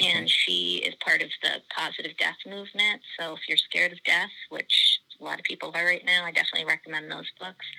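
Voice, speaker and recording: Over noticeable background noise, a woman with an American accent talks at a fairly quick pace, her loudness swinging widely. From US Virgin Islands. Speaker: anthropology professor. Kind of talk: casual interview chat.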